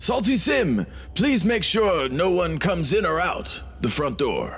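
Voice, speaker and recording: In a put-on character voice, a man speaks at a fairly slow pace with a high pitch. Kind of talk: formal, elevated speech. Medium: actual play. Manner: earnest, pious.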